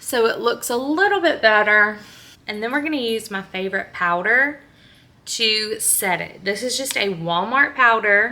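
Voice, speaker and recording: Bright and sharp in tone, the speaker goes at a fairly slow pace with a Louisiana accent. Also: woman. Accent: Southern US (Louisiana). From northern Louisiana (Benton). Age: 20s. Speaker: beauty vlogger and teacher. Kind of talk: makeup tutorial. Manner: casual, chatty.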